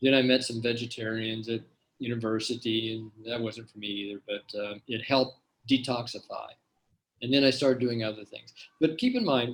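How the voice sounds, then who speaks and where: Somewhat breathy, a man speaks at medium pitch and a moderate pace. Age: 60s. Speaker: health researcher and product formulator. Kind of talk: Q&A at an online health seminar. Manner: casual, with frequent fillers and repetitions.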